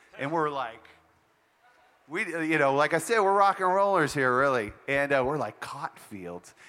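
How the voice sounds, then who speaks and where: Speaking at a moderate pace, a man with an American accent has a fairly high voice and a bright, sharp tone. His pitch swings very widely. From Montana. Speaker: army musician. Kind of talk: workshop conversation on stage. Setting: festival stage with audience.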